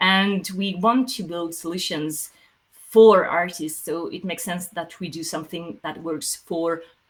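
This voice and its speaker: A woman with a French accent, fairly slow pace, fairly low pitch, ordinary pitch variation, and big swings in loudness. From France. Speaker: software company CEO. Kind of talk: Q&A answering audience questions. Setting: online livestream meetup. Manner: hesitant, many fillers.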